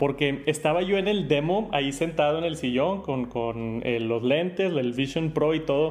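A man with a Mexican accent talks at a fairly slow pace in a fairly high pitch. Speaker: tech youtuber. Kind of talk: casual chat.

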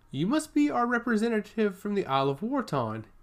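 The speaker uses a put-on character voice at a fairly high pitch. Delivery is fairly quick, with very wide pitch swings.

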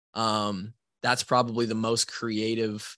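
Over a quiet background, a man's fairly low voice has a bright, sharp tone and fairly even intonation, with a dry, close sound and no echo. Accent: American. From US Midwest, Iowa (Marshalltown). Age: 20s. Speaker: former college football player and podcast host. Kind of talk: casual interview.

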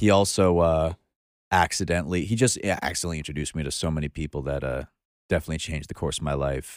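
With a Brooklyn accent, a man talks at a very fast pace in a very deep, low pitch with ordinary pitch variation, in a very clean, dry, close recording with no echo and a silent background. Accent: New York, Brooklyn-sounding. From Long Island, New York. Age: 20s. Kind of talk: casual chat.

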